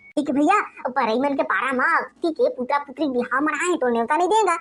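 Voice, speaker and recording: Using a cartoonish character voice, a woman speaks at a high pitch and a fairly quick pace, with lively intonation and very even loudness. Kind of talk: comic village banter. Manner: eager, boastful.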